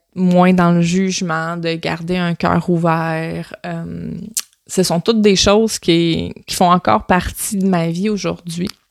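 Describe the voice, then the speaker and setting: In a very clean recording with a silent background, a woman speaks very slowly at a fairly low pitch, the sound dry and close with no echo. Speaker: podcast host, personal development coach. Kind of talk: solo podcast monologue. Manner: animated.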